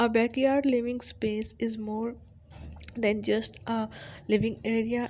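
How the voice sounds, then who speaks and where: Somewhat breathy speech at a fairly slow pace, flat and monotone throughout. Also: woman. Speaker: home decor video creator. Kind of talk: scripted narration.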